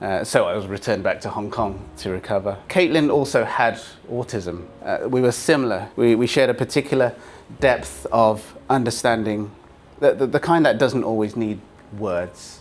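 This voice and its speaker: Speaking with a British accent, a man talks at a moderate pace. His medium-pitched voice has lively intonation. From Britain. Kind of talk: keynote speech. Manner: halting, with repeated words.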